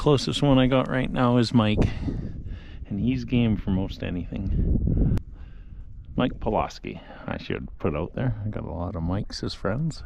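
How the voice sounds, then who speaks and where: Long, frequent pauses break up a man's fairly slow speech at a fairly low pitch. Noticeable background noise runs behind him. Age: 60s. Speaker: outdoor vlogger. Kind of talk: casual vlog narration while hiking. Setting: outdoors on a mountain hike. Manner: casual, halting.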